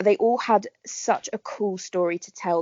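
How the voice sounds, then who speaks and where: A woman with a southern English accent and ordinary pitch variation. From southern England, Berkshire. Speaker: actress. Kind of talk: casual interview chat.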